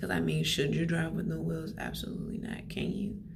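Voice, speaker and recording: Soft-spoken whispering against noticeable background noise. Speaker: faith vlogger. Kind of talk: casual vlog. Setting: study room. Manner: whispering, soft.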